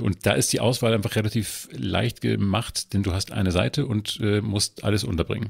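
A man's voice carries vocal fry, recorded dry and close with no echo. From northern Germany. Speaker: culture journalist. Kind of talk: casual chat. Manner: halting, many filler sounds.

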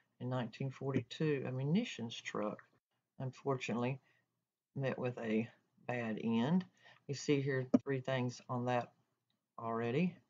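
Speaking with a coastal North Carolina accent, a woman has a very deep, low pitch and fairly even intonation. Her pace is fairly slow, with long, frequent pauses. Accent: coastal North Carolina Southern. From North Carolina coast, Carteret County. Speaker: library assistant; library staff tutor. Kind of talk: tutorial. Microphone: webcam.

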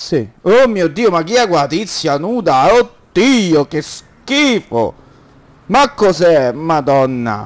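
The voice moves at a very slow pace while the pitch swings very widely. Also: man, high pitch for a man. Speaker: gaming youtuber. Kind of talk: let's play commentary. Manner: animated.

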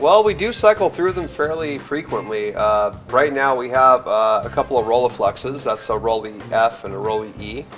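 A man with an American accent speaks at a medium pitch and moderate pace, with lively intonation and hardly any pauses. Faint music plays in the background. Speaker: camera shop owner. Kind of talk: interview answer. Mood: relaxed, enthusiastic. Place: shop.

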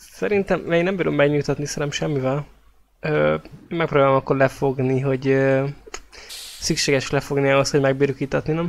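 The pace is moderate. Long pauses come often. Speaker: role-playing game player. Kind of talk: tabletop role-playing game session.

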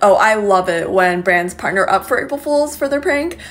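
A woman speaks at a fairly quick pace with an American accent. Her intonation is lively. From US West Coast, Seattle. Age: 20s. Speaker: social media creator. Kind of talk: casual vlog narration. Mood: amused, playful.

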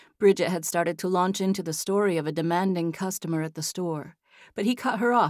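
There is a natural reading voice throughout.

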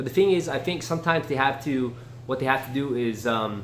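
Light background noise sits under a man whose pitch varies in an ordinary way. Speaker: martial arts fitness vlogger. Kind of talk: casual vlog chat. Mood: opinionated, dismissive. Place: home room.

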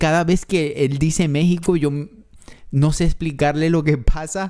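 In a quiet background, a man with a fairly high pitch and a dark, mellow tone speaks at a fairly slow pace. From not Mexico, foreign to Mexico. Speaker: reaction youtuber. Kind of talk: reaction video, casual commentary. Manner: emotional, moved, animated. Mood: moved, emotional. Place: home room. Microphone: studio mic.

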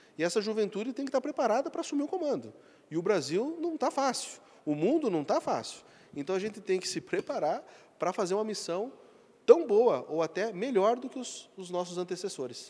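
A man talks at a fairly quick pace in a high-pitched voice with a dark, mellow tone. His pitch swings very widely. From Acre, Brazil. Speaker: company executive; interviewee. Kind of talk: interview. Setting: corporate event venue. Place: hall. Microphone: handheld.

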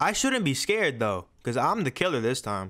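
A man speaks with an American accent. Music plays in the background. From New Jersey. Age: young. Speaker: gaming streamer. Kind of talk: gaming commentary. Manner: casual, energetic.

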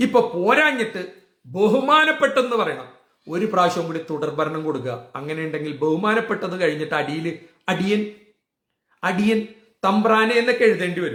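In a room with audible echo, a man with a high pitch and a bright, sharp tone sounds animated, his pitch swinging very widely. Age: 60s. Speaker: political vlogger. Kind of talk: political rant.

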